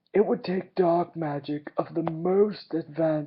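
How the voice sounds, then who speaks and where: At a fairly slow pace, a put-on character voice speaks in a middle pitch. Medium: read story. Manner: calm, soft-spoken.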